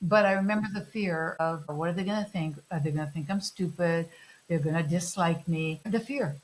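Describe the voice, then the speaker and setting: A somewhat breathy woman's voice of fairly low pitch, moderate pace and ordinary pitch variation. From Vancouver, Canada, emigrated from Greece as a child. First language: Greek. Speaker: podcast host. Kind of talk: interview.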